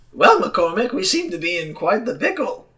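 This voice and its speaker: In a put-on character voice, a man talks at a moderate pace with an extremely high pitch and very wide pitch swings. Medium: actual play.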